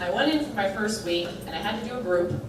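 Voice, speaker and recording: In an American accent, a woman talks at a moderate pace amid noticeable background noise and audible room echo. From Connecticut. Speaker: field education staff at a social work school. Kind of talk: orientation talk. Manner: casual, many fillers.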